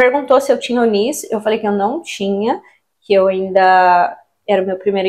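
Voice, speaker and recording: A woman with a Brazilian accent, lively in intonation, at a moderate pace. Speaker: vlogger, recent immigrant. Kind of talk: casual vlog talk to camera.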